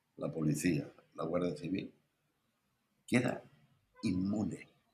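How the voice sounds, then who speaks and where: A man speaks at a very deep, low pitch with ordinary pitch variation. His pace is fairly slow. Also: long, frequent pauses. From Spain. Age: 70s. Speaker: historian and editor. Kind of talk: interview.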